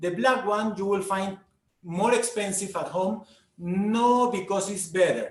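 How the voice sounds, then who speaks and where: A man with a Peruvian accent speaks at a fairly slow pace, his high pitch showing ordinary variation. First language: Spanish. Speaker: food guide. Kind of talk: online talk, Q&A. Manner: halting with fillers.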